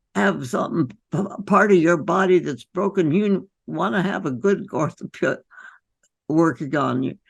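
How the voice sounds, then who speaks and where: A woman speaks at a fairly slow pace with lively intonation and vocal fry. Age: 80s+. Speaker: physician. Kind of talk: interview answer.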